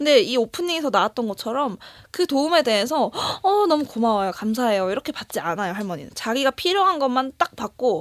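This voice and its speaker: The recording is very clean and dry, with a silent background and close sound without echo. A woman speaks fairly quickly at a high pitch, her voice swinging very widely. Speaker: podcast co-host. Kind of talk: casual chat reviewing a film. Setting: studio.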